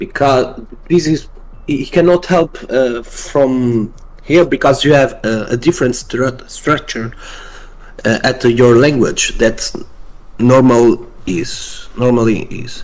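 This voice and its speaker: Speaking at a very slow pace with a non-native accent, a man uses a medium pitch with ordinary pitch variation. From Portugal. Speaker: stream guest programmer. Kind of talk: casual chat. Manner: halting.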